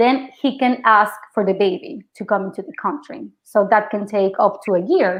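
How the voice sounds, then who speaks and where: A woman with a Mexican accent speaks at a moderate pace in a fairly high voice, with ordinary pitch variation, big swings in loudness and hardly any pauses. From Mexico. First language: Spanish. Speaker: actress. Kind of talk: interview. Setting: podcast.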